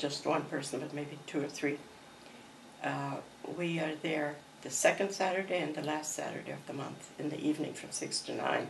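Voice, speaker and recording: A woman speaks at a moderate pace with fairly even intonation. Audible room echo and noticeable background noise fill the recording. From Croatia. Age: 80s+. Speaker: artist. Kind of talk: interview.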